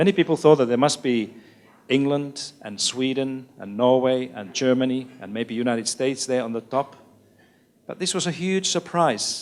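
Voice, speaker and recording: A man's medium-pitched voice with a Finnish accent, moderate pace, ordinary pitch variation and big swings in loudness. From Finland. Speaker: education expert, author. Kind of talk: lecture.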